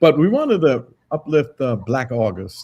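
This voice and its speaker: The man's tone is dark and mellow. His pitch varies an ordinary amount. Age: 70s. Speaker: radio host. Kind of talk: interview.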